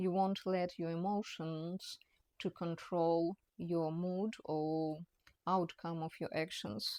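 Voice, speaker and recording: A woman with a non-native accent and a fairly low pitch speaks at a very slow pace. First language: not English. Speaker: personal trainer. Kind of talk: talking-head educational monologue. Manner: halting, many fillers and restarts.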